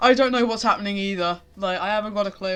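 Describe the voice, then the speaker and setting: This is a woman speaking. Her pitch sits in the medium range. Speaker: streamer. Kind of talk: casual live stream chat. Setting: live stream. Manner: loud; animated.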